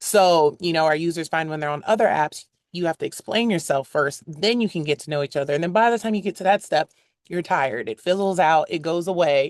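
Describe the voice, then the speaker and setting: A woman with an American accent and an unremarkable speaking voice talks at a fairly quick pace and fairly low pitch, with ordinary pitch variation, in a dry, close sound with no echo. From United States. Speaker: brand executive at a dating app. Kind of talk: interview conversation.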